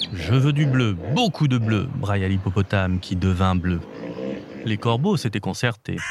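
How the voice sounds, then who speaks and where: A man talks fairly slowly, his pitch swinging very widely, while music plays in the background. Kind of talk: bedtime story reading aloud for young children. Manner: animated, voicing each animal character with expressive changes; warm, gentle storytelling pace.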